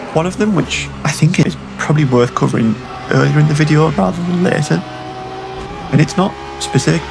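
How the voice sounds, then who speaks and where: A man speaks at a fairly quick pace in a British accent. Noticeable background noise runs behind him. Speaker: sim racing youtuber. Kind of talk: gameplay voiceover commentary. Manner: halting, repeats words often; shifting tone and pitch.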